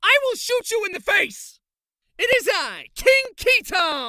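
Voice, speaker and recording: The voice sits at an extremely high pitch and moves at a fairly slow pace. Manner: loud, boastful.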